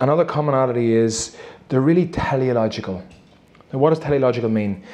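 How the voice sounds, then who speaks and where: A man with a Northern Irish accent at a very fast pace, amid noticeable background noise. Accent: Armagh. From Northern Ireland, County Armagh. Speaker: performance coach and former Gaelic footballer. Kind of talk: live interview before an audience. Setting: stage with audience. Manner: animated.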